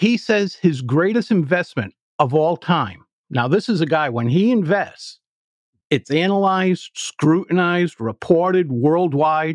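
In a dry, close recording with no echo and a quiet background, a man with an American accent uses an ordinary speaking voice, fairly high in pitch with lively intonation. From US Northeast, Providence, Rhode Island. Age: 60s. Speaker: public speaking coach. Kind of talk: podcast interview.

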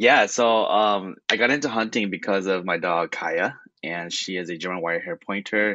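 An unremarkable speaking voice, a man's sits at a fairly low pitch with ordinary pitch variation, moving at a moderate pace with hardly any pauses. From California, Hmong-American family. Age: young. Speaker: hunter and conservation volunteer. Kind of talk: radio interview.

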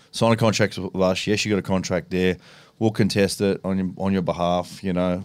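Very deep and low, a man's voice carries an Australian accent with monotone, flat intonation. He speaks at a moderate pace. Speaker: retired rugby league player and race driver. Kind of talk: casual chat.

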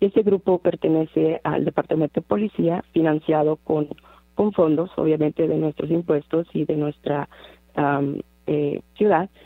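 Very deep and low in pitch, a woman talks at a fairly slow pace with fairly even intonation in a dry, close sound with no echo. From Mexico, Monterrey, Nuevo León. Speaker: community organization founder. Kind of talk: radio interview.

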